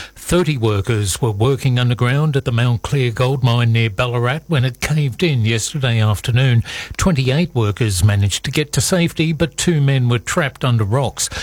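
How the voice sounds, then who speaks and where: With an Australian accent, a man speaks at a moderate pace and medium pitch, with ordinary pitch variation, very even loudness and hardly any pauses, over noticeable background noise. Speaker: news reader. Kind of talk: news reading. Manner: formal.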